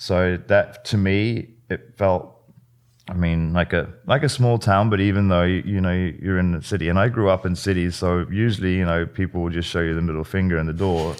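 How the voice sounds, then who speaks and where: Against a quiet background, a man with a very deep, low pitch talks at a moderate pace with fairly even intonation. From England. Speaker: chef and food truck owner. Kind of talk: casual interview chat. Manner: halting, many repeats and fillers.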